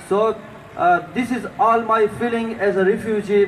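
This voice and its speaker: Over noticeable background noise, a man with a high pitch speaks at a fairly slow pace. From Afghanistan. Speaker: refugee community leader and union organiser. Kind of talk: protest rally speech. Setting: outdoor rally. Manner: halting.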